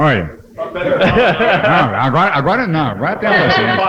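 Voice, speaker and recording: A man amid audible room echo and noticeable background noise. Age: 70s. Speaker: radio broadcasting pioneer. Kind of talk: casual chat. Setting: radio studio. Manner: animated.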